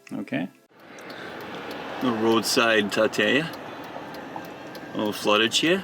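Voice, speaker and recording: Amid noticeable background noise, a man with an American accent speaks at a very slow pace. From US South. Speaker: YouTuber, video blogger. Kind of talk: casual vlog commentary. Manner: casual, halting with fillers.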